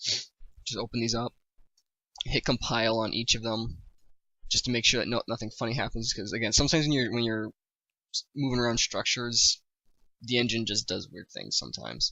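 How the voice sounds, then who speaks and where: His voice sits at a medium pitch with fairly even intonation. The man's pace is fairly quick. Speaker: game development tutorial maker. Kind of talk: tutorial. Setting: livestream. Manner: fast; halting, many repetitions and fillers.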